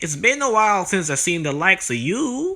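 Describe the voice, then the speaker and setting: A put-on character voice from a man, high-pitched, at a fairly quick pace. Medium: solo performance. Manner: jovial, teasing.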